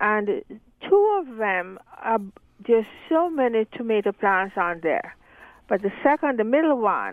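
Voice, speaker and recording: Moderately paced talk from a woman, fairly high-pitched, in an unremarkable speaking voice. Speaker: caller. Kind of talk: call-in gardening question. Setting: phone call.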